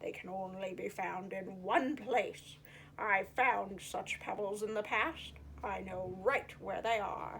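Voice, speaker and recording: Using a put-on character voice, a woman speaks fairly slowly at a medium pitch with clear background noise. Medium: read story.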